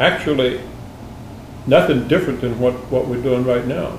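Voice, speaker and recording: At a moderate pace, a man talks in a medium pitch. Audible room echo and noticeable background noise are present. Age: 80s+. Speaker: interviewee, retired military veteran and husband. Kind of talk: interview. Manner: halting, many fillers.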